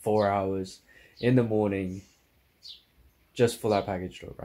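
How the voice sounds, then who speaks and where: A man with a fairly low pitch and a dark, mellow tone speaks in a monotone, flat intonation. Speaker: vlogger. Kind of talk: casual vlog, unboxing.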